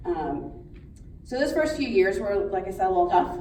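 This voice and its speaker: A woman with an American accent amid noticeable background noise and audible room echo. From Pittsburgh, Pennsylvania. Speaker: schoolteacher. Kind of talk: speech. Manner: loud.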